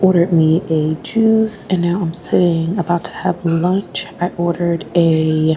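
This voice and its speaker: A woman whispers at a fairly slow pace with hardly any pauses. Noticeable background noise runs underneath. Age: 30s. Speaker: travel vlogger. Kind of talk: vlog monologue. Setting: resort restaurant. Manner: whispering.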